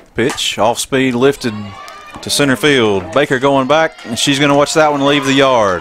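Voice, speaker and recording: Music sits in the background as the speech moves at a moderate pace with ordinary pitch variation. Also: man, medium pitch for a man. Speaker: play-by-play announcer. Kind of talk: live sports commentary. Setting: stadium press box, live broadcast.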